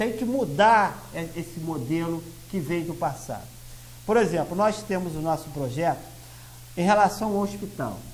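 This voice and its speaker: Audible room echo around a fairly slow pace and lively intonation. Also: man. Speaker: lawyer and party president. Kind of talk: TV interview.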